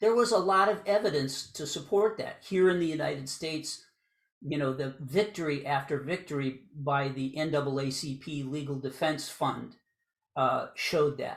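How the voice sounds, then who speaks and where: In a very clean recording with a silent background, a man with an American accent speaks at a fairly high pitch, somewhat breathy, with ordinary pitch variation. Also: moderate pace. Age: 60s. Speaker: law professor. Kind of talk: lecture.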